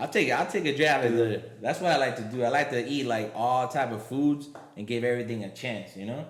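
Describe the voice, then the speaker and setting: Delivery is at a fairly quick pace with ordinary pitch variation. The room echo is audible. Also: man, medium pitch for a man. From Miami, Florida (Puerto Rican-Cuban family). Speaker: comedian and triathlete. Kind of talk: casual chat.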